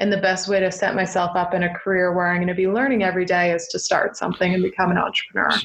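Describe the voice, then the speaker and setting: Talking very fast with hardly any pauses, a woman with a Canadian accent keeps a medium pitch, monotone, flat intonation and very even loudness. Noticeable background noise can be heard. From eastern Ontario, Canada. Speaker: entrepreneur. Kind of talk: interview.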